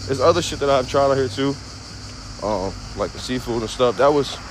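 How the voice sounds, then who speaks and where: Over noticeable background noise, a man with an American accent speaks at a medium pitch and a fairly quick pace. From United States. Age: 20s. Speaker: streamer. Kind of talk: casual live stream monologue. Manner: casual, filler-heavy.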